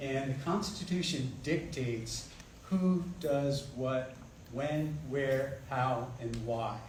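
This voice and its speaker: A soft-spoken man at a medium pitch, very slow pace, ordinary pitch variation, audible room echo and noticeable background noise. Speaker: political candidate. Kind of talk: candidate forum answers. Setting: community meeting with microphone, streamed online.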